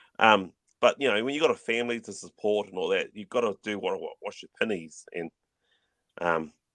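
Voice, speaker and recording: A man with a New Zealand accent at a fairly quick pace, big swings in loudness, a dry, close sound with no echo and a quiet background. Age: 50s. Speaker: YouTuber and collector. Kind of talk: casual chat. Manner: fast; mumbling.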